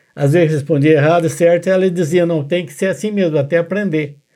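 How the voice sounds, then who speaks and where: A man is speaking. His tone is dark and mellow. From Brazil, Minas Gerais and São Paulo state. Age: 80s+. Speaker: church elder. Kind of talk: testimony.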